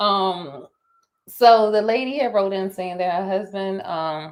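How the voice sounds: Speaking at a fairly slow pace, a woman keeps a medium pitch with ordinary variation.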